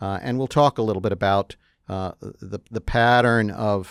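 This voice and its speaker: A man with a New York accent speaks at a fairly low pitch. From New York City. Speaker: clinical psychologist, presenter. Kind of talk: webinar lecture. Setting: studio, live webinar. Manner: hesitant fillers (uh).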